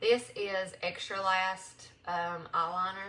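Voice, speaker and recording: Speaking in an American accent, a woman uses a fairly low pitch. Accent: Southern US accent, noticed by others. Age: 40s. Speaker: makeup seller. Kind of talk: live makeup tutorial. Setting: livestream. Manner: casual, with many fillers.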